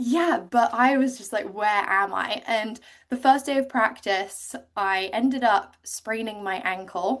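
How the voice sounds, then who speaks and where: A woman speaks with an English accent at a fairly high pitch. Her pace is fairly slow and her intonation lively. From England, Cotswolds. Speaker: ocean rower. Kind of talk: interview. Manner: animated.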